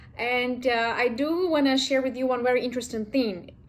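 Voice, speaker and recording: A woman with a Ukrainian accent speaks at a moderate pace in a high voice with ordinary pitch variation. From Ukraine. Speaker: vlogger. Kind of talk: casual vlog talk.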